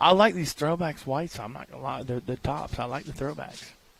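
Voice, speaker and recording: This man's voice carries vocal fry and very wide pitch swings. He talks at a moderate pace. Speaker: football broadcast commentator. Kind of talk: casual chat. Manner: loud.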